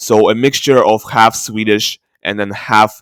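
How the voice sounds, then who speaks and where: Fairly low male voice, dry and close with no echo, on a very clean recording with a silent background. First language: not English. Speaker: ancient DNA video creator. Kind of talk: screen-share tutorial. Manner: halting, many fillers.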